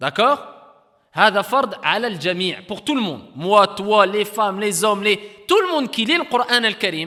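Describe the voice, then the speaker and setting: A man speaks in a raised, projected voice with a high pitch and lively intonation. His loudness swings widely, and his pace is fairly slow. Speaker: Quran recitation teacher. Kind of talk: lecture.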